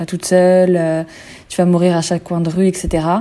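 A woman speaks at a medium pitch. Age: 20s. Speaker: travel blogger. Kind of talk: casual chat.

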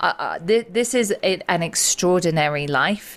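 Lively intonation marks this woman's speech, delivered with an English accent. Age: 40s. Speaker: psychotherapist and sobriety coach. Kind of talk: interview.

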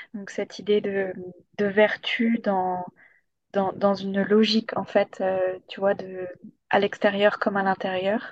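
In a dry, close recording with no echo, a woman at medium pitch speaks very slowly and in a flat monotone, with long, frequent pauses and big swings in loudness. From southern France, Hérault. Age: 20s. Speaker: energy aromatherapist. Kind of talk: casual chat.

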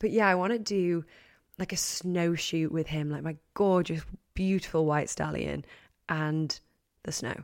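A woman with an English accent and a fairly low pitch, long, frequent pauses, and a very clean recording over a silent background. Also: fairly even intonation. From England. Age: 20s. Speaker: podcast host. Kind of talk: solo casual chat.

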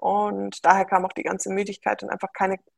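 Moderate pace from a woman, the sound dry and close without any echo. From Bavaria (Munich). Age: 20s. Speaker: former pro triathlete and mathematician. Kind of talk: interview. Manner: hesitant, many fillers.

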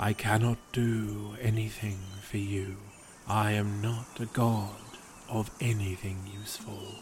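A man speaks in a put-on character voice, pitched fairly low, with a flat, monotone delivery. His pace is fairly slow, and background noise is clearly audible. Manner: sighing, melancholy, self-deprecating.

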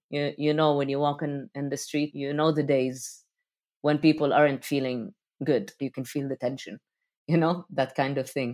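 In a dry, close recording with no echo and a silent background, a woman with an Arabic accent speaks at a moderate pace, her very deep, low pitch held in fairly even intonation. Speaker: rapper, producer and DJ. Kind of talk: interview conversation.

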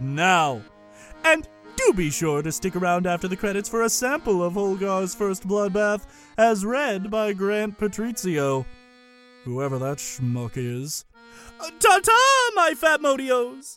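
Faint music plays in the background as a man in a put-on character voice speaks at a fairly slow pace, his high pitch making very wide swings. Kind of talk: comic overacting. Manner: grandiose, condescending, mock-polite.

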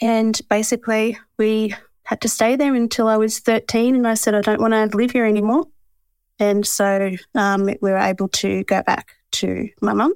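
Here a woman with an Australian accent speaks at a fairly high pitch and moderate pace, with fairly even intonation and very even loudness. The recording is very clean with a silent background, its sound dry and close with no echo. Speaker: bookkeeper and business owner. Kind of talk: interview.

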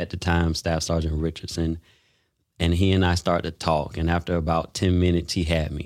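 In an American accent, a man talks at a fairly quick pace in a very deep, low pitch with monotone, flat intonation, on a very clean recording with a silent background. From Florida (Daytona Beach). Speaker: Marine veteran and entrepreneur. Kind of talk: interview.

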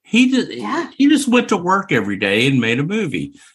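A man's voice swings very widely in pitch. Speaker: podcast co-host. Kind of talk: casual chat. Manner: animated.

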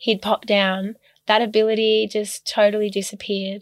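Monotone, flat delivery at a moderate pace, with an Australian accent. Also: woman. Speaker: ballet dancer. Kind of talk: casual chat.

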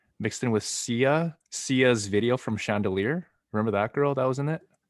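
A man speaks at a moderate pace in a medium pitch, with ordinary pitch variation. It is an ordinary speaking voice, set against a quiet background. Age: 30s. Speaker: actor, podcast co-host. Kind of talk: casual chat.

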